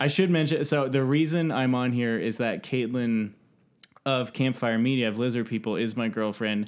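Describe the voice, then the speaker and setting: A man's medium-pitched voice with a Californian accent, moderate pace and ordinary pitch variation, on a very clean recording with a silent background. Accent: General American (Californian). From US West Coast (San Francisco Bay Area, East Bay). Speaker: podcaster and game maker. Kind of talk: casual chat.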